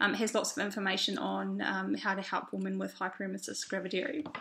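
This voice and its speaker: At a moderate pace, a woman talks with a New Zealand accent over noticeable background noise. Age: 30s. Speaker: vlogger. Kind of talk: video diary. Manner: hesitant, many fillers.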